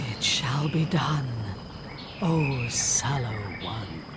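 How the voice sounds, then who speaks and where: Over loud background noise, a put-on character voice speaks very slowly at a low-to-middle pitch. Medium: machinima. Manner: hushed, seductive.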